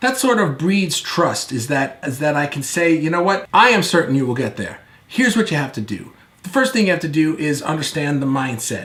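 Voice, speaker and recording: Loud and animated, a man speaks at a fairly quick pace with very wide pitch swings. His pitch is fairly high, and audible room echo surrounds him. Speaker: video marketing coach. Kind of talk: online course lecture. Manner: fast; loud, animated.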